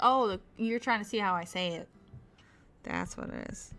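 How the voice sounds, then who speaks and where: A woman talks at a fairly high pitch with ordinary pitch variation, and her loudness swings widely. Music plays in the background. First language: Spanish. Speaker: streamer and artist. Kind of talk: casual live stream chat. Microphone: further from the mic than usual, maybe quiet.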